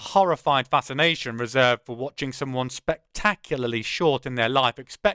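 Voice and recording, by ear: The voice is reading aloud in a natural voice with lively intonation. The background is quiet.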